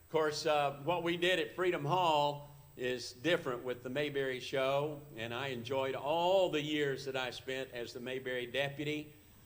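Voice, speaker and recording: This man's pitch is fairly high, with fairly even intonation at a moderate pace. Room echo is audible. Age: 70s. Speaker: actor and performer. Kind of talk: talk to a church audience. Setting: church service, live broadcast.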